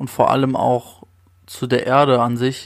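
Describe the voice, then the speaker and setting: Very slow speech from a man at a medium pitch, recorded very cleanly against a silent background. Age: 20s. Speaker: podcast host. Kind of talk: solo podcast monologue.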